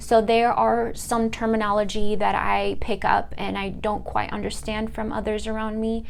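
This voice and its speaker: A woman with a Californian accent speaks at a moderate pace with hardly any pauses. Audible room echo surrounds her voice. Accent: Californian American English. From US West, southern California (Fullerton). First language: Italian. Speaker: student. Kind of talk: class presentation monologue. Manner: halting, with many fillers.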